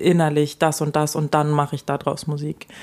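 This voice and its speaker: This woman has a dark, mellow tone and speaks at a moderate pace. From Germany, French-speaking parents. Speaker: singer in a jazz-pop duo. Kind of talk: casual interview chat. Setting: at the host's home.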